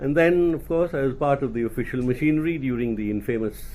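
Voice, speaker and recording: This man talks very fast with an Indian accent. His voice is fairly high-pitched, with a dark, mellow tone. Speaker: retired Indian government official. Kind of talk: talk at a think-tank event. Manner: formal.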